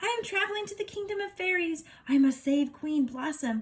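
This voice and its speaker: In a squeaky, put-on character voice, a woman speaks at an extremely high pitch and a fairly quick pace. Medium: read story.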